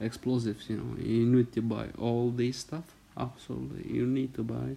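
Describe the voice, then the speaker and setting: A man with a non-native accent, medium in pitch and dark, mellow in tone, at a moderate pace with monotone, flat intonation. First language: not English. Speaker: gaming youtuber. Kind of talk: game tutorial. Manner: halting.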